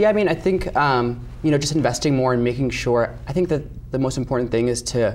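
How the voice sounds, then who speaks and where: Very fast speech with an American accent, ordinary pitch variation and very even loudness. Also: man, medium pitch for a man. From Connecticut, Bethel. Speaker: political candidate. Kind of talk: interview. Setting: television studio.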